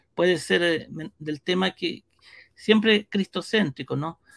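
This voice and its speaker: A man's voice with ordinary pitch variation and a dry, close sound with no echo. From Brazil (São Paulo), born in Chile. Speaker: pastor and church media director. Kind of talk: interview.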